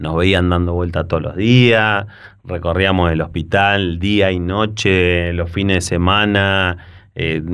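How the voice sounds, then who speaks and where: A man's very deep, low voice with a Rioplatense accent, flat monotone intonation, and audible room echo. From Argentina, Buenos Aires province (La Plata). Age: 40s. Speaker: doctor and municipal health official. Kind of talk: interview. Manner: hesitant with frequent fillers and repetitions.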